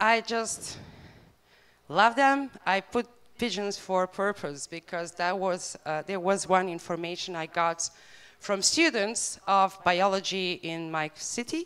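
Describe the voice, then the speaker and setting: With a Bosnian accent, a woman speaks fairly slowly at a medium pitch with ordinary pitch variation. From Bosnia and Herzegovina. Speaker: animal rights campaigner. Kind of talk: conference talk. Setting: stage with audience. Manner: hesitant, many fillers.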